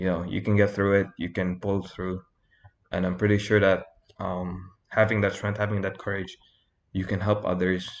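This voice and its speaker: Long, frequent pauses break up a man's monotone, flat delivery at a moderate pace against a quiet background. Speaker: youtuber. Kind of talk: motivational talk to camera. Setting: talking to camera. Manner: halting, stuttering.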